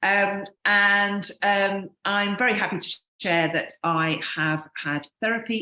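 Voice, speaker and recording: A woman's bright, sharp tone in a British accent at a very slow pace. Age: 50s. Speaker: podcast co-host, wedding accessories designer. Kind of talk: casual podcast chat.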